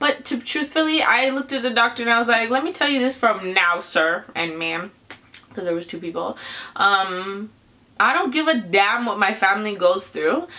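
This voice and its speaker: Very wide pitch swings run through a woman's voice over noticeable background noise. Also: fairly high pitch for a woman, moderate pace. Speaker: vlogger, parent of child with cancer. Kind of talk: personal testimony vlog. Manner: halting.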